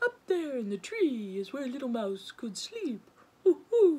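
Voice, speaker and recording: Using a put-on character voice pitched high, a woman talks fairly slowly. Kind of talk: bedtime story voice. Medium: read story. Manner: punctuates speech with hooting.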